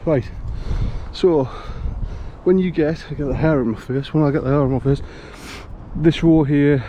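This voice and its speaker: Noticeable background noise accompanies speech with fairly even intonation. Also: man. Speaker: hiking vlogger. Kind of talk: casual vlog narration while walking. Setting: outdoors on a coastal hike. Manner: halting, informal. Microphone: phone microphone.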